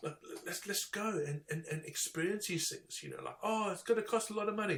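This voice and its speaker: Noticeable background noise behind a man with a high pitch, ordinary pitch variation and a fairly quick pace. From Zimbabwe. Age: 50s. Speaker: technical diving instructor. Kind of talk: casual chat. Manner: halting, many repeated words.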